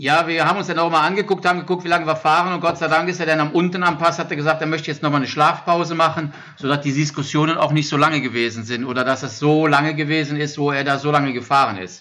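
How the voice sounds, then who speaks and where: Talking at a very fast pace with hardly any pauses, a man uses a fairly high, bright, sharp voice with ordinary pitch variation. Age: 50s. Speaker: support crew member for an ultra-cycling racer. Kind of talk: casual chat. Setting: shared laptop during work break. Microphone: shared microphone, good sound.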